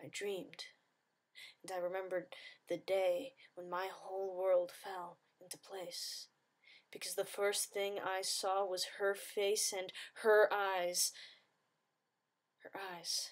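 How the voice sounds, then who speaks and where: Her pitch sits in the middle range, and she speaks very slowly with long, frequent pauses. The woman's delivery is flat and monotone, while her loudness swings widely. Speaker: spoken word poet. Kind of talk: spoken word poetry performance.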